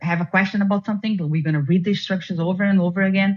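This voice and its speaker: Somewhat breathy, a woman speaks very fast with fairly even intonation. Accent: non-native. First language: not English. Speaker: former juror. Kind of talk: interview. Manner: halting.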